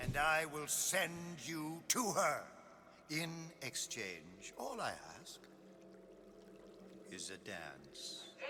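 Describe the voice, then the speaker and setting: A man's put-on character voice with a theatrical tone, a very slow pace, long, frequent pauses and big swings in loudness, over clear background noise. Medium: video game. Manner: theatrical, grandiose.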